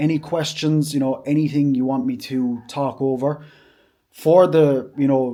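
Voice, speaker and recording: Monotone, flat intonation in an Irish accent. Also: man. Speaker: fitness vlogger and bodybuilder. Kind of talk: casual vlog talk to camera. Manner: fast.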